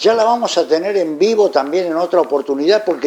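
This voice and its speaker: In a Rioplatense accent, a man speaks with lively intonation and a dark, mellow tone. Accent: Argentine Spanish (rioplatense). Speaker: interviewer. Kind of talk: interview.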